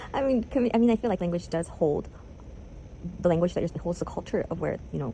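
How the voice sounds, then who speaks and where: A woman at a very fast pace, fairly low pitch and very wide pitch swings. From South America. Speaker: university student. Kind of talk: interview.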